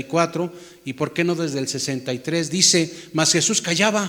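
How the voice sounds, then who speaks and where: Noticeable background noise surrounds a man speaking at a moderate pace. His pitch is high, with ordinary pitch variation. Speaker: pastor. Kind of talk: sermon.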